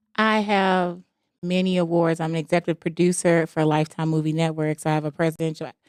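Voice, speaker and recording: This is an ordinary speaking voice, delivered at a moderate pace. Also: woman. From Jamaica, moved to US at nine. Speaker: author and entrepreneur. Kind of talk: podcast interview, life story.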